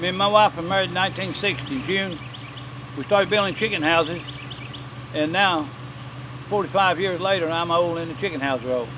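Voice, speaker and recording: This voice moves at a fairly quick pace with a North Carolina accent and ordinary pitch variation. Noticeable background noise sits behind it, and long pauses come often. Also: man, high pitch for a man. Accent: rural Southern US (North Carolina). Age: 70s. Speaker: farmer and potter. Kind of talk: interview storytelling.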